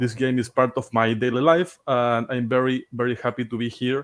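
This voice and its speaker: A man with a Spanish accent speaks at a moderate pace in a medium pitch, his intonation monotone and flat. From Chile. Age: 30s. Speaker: game streamer co-host. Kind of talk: casual live stream chat.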